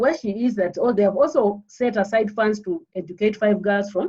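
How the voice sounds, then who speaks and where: A somewhat breathy woman's voice at medium pitch, dark and mellow in tone, at a moderate pace. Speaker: polytechnic head of department. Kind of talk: panel presentation. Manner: halting, repetitive.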